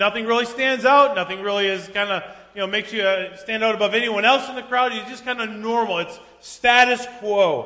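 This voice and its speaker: Raising and projecting his voice at a high pitch, a man talks at a fairly quick pace with fairly even intonation over noticeable background noise. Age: 40s. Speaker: pastor. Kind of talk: sermon. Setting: church.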